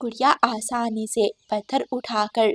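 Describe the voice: Slowly and with vocal fry, a woman talks at a fairly high pitch with ordinary pitch variation, in a dry, close sound with no echo.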